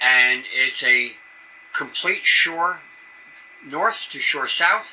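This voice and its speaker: A man with a Brooklyn accent talks at a fairly slow pace with ordinary pitch variation over noticeable background noise. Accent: New York, Brooklyn roots. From New York City area. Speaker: amateur radio emergency coordinator. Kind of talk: conference presentation. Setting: conference session with audience.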